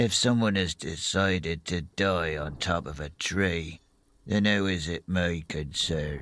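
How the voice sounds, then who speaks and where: Putting on a character voice, a man speaks very deep and low at a fairly slow pace on a very clean recording with a silent background. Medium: video game. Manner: blunt, gruff.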